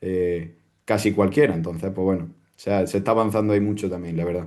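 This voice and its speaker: A man with an Andalusian accent talks at a fairly quick pace with fairly even intonation over a quiet background. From Andalusia, Spain. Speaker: crypto security educator. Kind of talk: interview answer.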